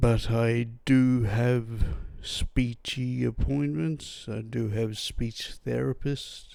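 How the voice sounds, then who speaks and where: Speaking at a very slow pace, a man with an Australian accent keeps a medium pitch and fairly even intonation. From Australia, New South Wales. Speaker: podcast host, brain injury survivor. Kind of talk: personal testimony. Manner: impaired speech after brain injury.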